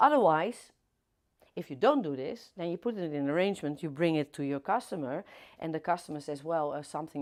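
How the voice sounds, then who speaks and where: A woman with a Dutch accent on a very clean recording with a silent background. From Netherlands. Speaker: florist teacher. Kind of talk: live demonstration tutorial. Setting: livestream studio. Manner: hesitant, many fillers.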